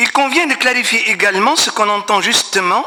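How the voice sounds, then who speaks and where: A man speaks at a high pitch with ordinary pitch variation. Noticeable background noise is present. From Tunisia. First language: Arabic (speaking French). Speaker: professor. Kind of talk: conference talk. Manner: hesitant, many fillers.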